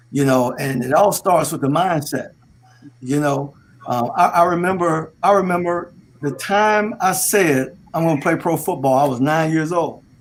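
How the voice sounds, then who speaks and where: A man speaks at a moderate pace in an American accent. His pitch is fairly high and varies in an ordinary way. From US South, Delray Beach, Florida. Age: 60s. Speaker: sports radio host and former pro football player. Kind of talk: casual chat. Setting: studio. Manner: animated.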